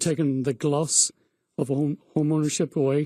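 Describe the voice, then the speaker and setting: Recorded dry and close with no echo against a silent background in a very clean recording, a man with an Irish accent speaks at a fairly high pitch. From Ireland. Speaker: real estate agent. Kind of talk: radio interview.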